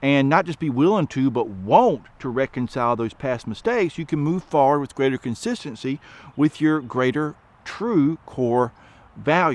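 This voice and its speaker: A man with an American accent, fairly high in pitch, using lively intonation at a moderate pace. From US South, rural. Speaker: education advocate. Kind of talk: commentary monologue.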